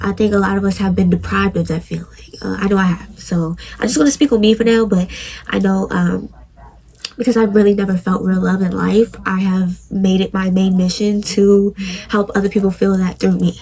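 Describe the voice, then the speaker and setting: Fairly quick speech comes from a woman. Noticeable background noise is present. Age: 20s. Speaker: podcast host. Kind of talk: personal testimony monologue.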